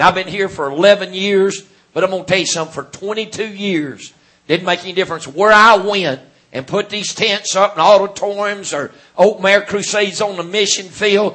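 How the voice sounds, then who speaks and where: The voice carries a Southern US accent and fairly even intonation. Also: man, high pitch for a man, moderate pace. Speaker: Pentecostal preacher. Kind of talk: sermon. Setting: church.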